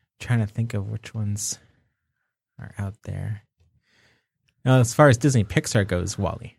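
Speaking at a fairly slow pace with long, frequent pauses, a man sounds somewhat breathy, with ordinary pitch variation and big swings in loudness. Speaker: podcast host. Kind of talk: casual chat. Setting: studio.

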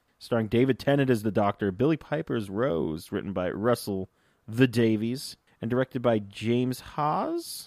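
Dry and close with no echo, a man with a normal speaking voice talks at medium pitch, moderate pace and ordinary pitch variation. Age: 30s. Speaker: podcast host. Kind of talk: casual chat. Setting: studio.

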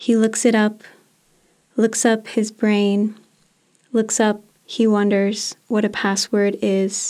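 Very slow and broken by long, frequent pauses, a woman speaks in a dark, mellow, fairly high voice with monotone, flat intonation and very even loudness. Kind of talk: literary poetry reading.

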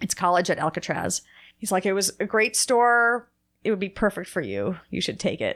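A woman with an American accent, medium pitch, ordinary pitch variation, vocal fry and a moderate pace, on a very clean recording with a silent background. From New Jersey. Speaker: bagel shop owner. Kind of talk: casual interview.

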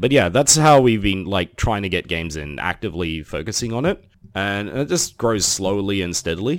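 Lively intonation marks this man's fairly low-pitched voice at a moderate pace. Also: very clean recording, silent background. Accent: Australian. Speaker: tabletop wargame player and podcaster. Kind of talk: casual interview.

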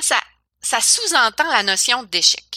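A woman with a Quebec accent speaks fairly slowly in a high, bright, sharp voice with very wide pitch swings, recorded with dry, close sound and no echo. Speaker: government relations adviser, former PhD. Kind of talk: interview. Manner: halting, many repetitions.

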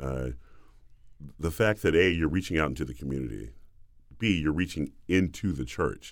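Using an American accent, a man with a very deep, low pitch and vocal fry speaks at a moderate pace with lively intonation and long, frequent pauses. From US South. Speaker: opera bass singer, former football player. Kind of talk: interview conversation.

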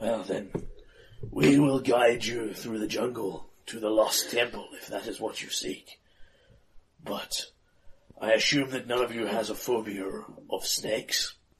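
A man uses a raspy, put-on character voice at medium pitch with fairly even intonation. He keeps a moderate pace, with long, frequent pauses and big swings in loudness. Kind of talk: comic pulp-adventure pastiche. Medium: actual play. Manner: grandiose, solemn.

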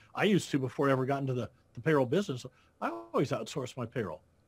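The man's voice is somewhat breathy. He speaks at a very fast pace. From Iowa, US Midwest. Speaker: accountant and payroll business founder. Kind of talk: interview.

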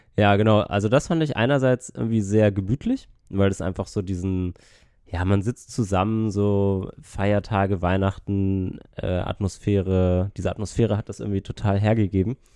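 A man speaks at a moderate pace in a fairly low voice with a dark, mellow tone. His intonation stays fairly even against a quiet background. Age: 20s. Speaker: travel podcaster. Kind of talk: casual chat.

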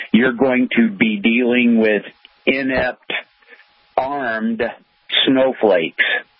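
A man with a medium pitch talks at a very slow pace with fairly even intonation. He leaves long, frequent pauses. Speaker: caller. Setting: phone call.

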